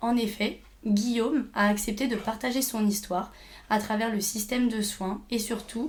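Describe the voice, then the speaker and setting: In a room with audible echo, a woman speaks in a somewhat breathy, fairly high voice with fairly even intonation. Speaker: podcast host, speech therapy student. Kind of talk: interview.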